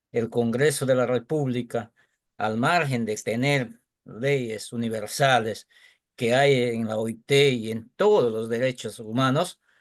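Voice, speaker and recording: Very slow speech in an Andean accent with ordinary pitch variation and a quiet background. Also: man. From Peru, San Martín region. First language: Quechua (speaking Spanish). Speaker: teacher. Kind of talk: audience question in webinar.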